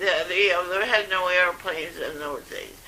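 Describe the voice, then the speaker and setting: A woman is speaking. Background noise is noticeable behind her. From Scotland. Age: 80s+. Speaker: retired nurse. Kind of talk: interview answer.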